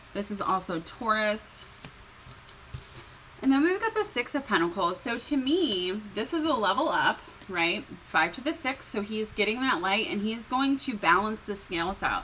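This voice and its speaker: Against noticeable background noise, a woman with a fairly high pitch speaks at a moderate pace with lively intonation. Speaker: tarot reader. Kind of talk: tarot reading monologue. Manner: hesitant, many fillers; shaky voice.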